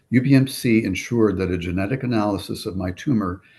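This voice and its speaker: Somewhat breathy and fairly low-pitched, a man speaks with ordinary pitch variation over a quiet background. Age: 60s. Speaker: cancer patient. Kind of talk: testimony. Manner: formal.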